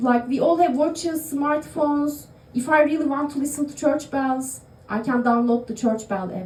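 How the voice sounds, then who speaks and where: A woman with a Turkish accent talks at a moderate pace in a high pitch with ordinary pitch variation, with noticeable background noise and audible room echo. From Turkey. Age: 30s. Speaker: stand-up comedian. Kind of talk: stand-up. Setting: stage with audience in a bar. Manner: halting, many fillers.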